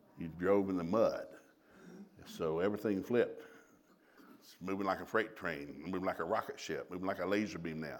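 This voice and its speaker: A man with a Southern US accent speaks at a fairly low pitch with ordinary pitch variation. Audible room echo surrounds him. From US South. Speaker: traveling preacher and marriage teacher. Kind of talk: sermon. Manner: fast.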